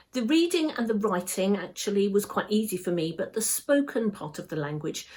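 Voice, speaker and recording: A woman with a British accent speaks at a moderate pace and medium pitch. Her voice is somewhat breathy, with lively intonation. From England. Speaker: English teacher. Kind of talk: exam practice answer. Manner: clear, measured pace.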